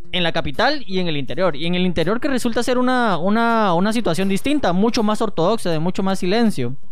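In a Guatemalan accent, a man talks at a very fast pace and high pitch with hardly any pauses. His intonation is lively, his loudness very even, and music plays in the background. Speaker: psychologist. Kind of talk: casual chat.

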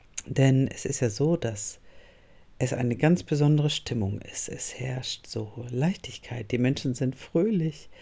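Very deep and low in pitch, this woman's voice has a dark, mellow tone and is somewhat breathy. She talks at a very slow pace. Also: ordinary pitch variation. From northern Germany. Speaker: podcast host and coach. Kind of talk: solo podcast monologue.

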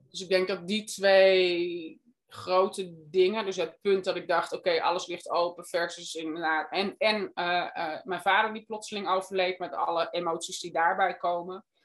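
The delivery is monotone, with flat intonation. There are hardly any pauses. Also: woman, medium pitch for a woman, moderate pace. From Netherlands. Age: 50s. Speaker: guesthouse owner. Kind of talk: interview. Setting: video call.

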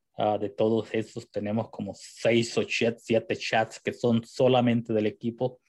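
Speaking at a fairly slow pace, a man leaves hardly any pauses. His intonation is monotone and flat. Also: medium pitch for a man. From El Salvador. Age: 40s. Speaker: esports team founder and streamer. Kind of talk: interview.

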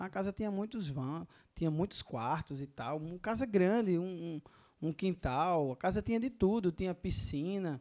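Recorded very cleanly with a silent background and a dry, close sound with no echo, a man with a high pitch and a dark, mellow tone speaks at a moderate pace with lively intonation. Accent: northeastern Brazilian. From Paraíba, Brazil (Northeast). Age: 30s. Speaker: restaurant entrepreneur. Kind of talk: casual interview.

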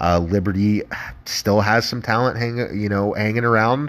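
A man's ordinary speaking voice with an American accent, fairly low pitch and a moderate pace. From Ohio. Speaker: sports betting podcast host. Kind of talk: casual solo sports commentary. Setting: solo podcast recording.

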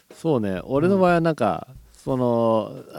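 A dark, mellow tone with very wide pitch swings. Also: man. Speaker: podcast co-host. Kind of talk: casual chat.

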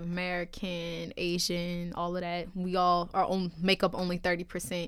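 A woman with a New Orleans accent, fairly low pitch and a fairly slow pace on a very clean recording with a silent background. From New Orleans, Louisiana. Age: 20s. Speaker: college student and rapper. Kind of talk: casual chat.

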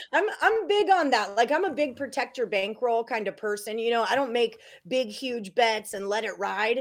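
With an American accent, a woman has an ordinary speaking voice at a fairly high pitch. Her intonation is lively and her pace moderate. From Texas, Houston. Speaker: sports betting handicapper. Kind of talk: casual chat.

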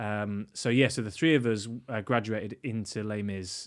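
A man speaks with a Yorkshire accent and a fairly low pitch. His intonation stays fairly even, and the recording is very clean with a silent background. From northern England, York. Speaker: stage actor and teacher. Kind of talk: casual interview. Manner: hesitant, many fillers.

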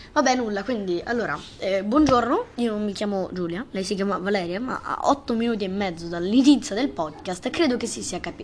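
Lively intonation at a fairly quick pace, with noticeable background noise. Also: woman, medium pitch for a woman. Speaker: amateur podcast host. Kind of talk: casual chat. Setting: bedroom. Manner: animated.

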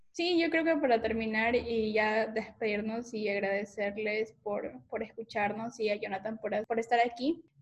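A woman's somewhat breathy voice, fairly high in pitch, at a fairly slow pace with ordinary pitch variation. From Ecuador, coastal region (La Concordia). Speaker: podcast host. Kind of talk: casual interview.

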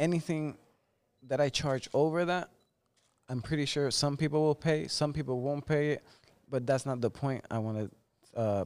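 The recording is very clean and the background silent. In it, a man talks with a Spanish accent. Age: 30s. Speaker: barber. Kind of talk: casual chat.

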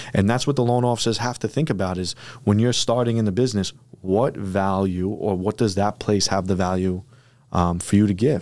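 A man speaks in a plain, everyday voice, fairly low in pitch, at a fairly quick pace. His pitch varies in an ordinary way on a very clean recording with a silent background. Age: 20s. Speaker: mortgage bank partner. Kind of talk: casual chat.

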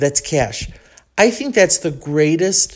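A woman with an animated tone on a very clean recording with a silent background. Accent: Chicago. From Chicago, US Midwest. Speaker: podcaster living abroad. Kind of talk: solo podcast monologue, casual. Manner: chatty, self-deprecating, animated.

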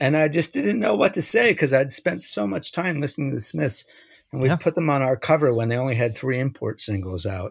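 On a very clean recording with a silent background and a dry, close sound with no echo, a man with an American accent speaks at a fairly quick pace and medium pitch, somewhat breathy, with very wide pitch swings. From New York. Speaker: music magazine publisher and musician. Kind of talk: casual interview. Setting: internet call. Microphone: internet problems.

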